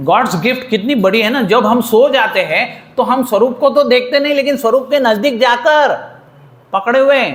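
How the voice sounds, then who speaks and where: An animated man with an extremely high pitch, ordinary pitch variation and very even loudness, amid audible room echo and noticeable background noise. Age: 80s+. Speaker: spiritual teacher. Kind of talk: sermon.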